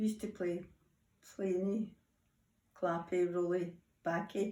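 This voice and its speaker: A woman with a Scottish accent speaks at medium pitch. Her pace is fairly slow and her intonation monotone and flat. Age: 80s+. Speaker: grandmother interviewed by school children. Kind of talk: interview.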